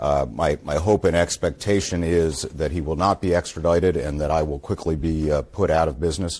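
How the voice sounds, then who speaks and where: Talking at a fairly quick pace with hardly any pauses, a man with an American accent and a very deep, low pitch keeps his intonation fairly even. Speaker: lawyer. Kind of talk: press conference statement. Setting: outdoors outside court.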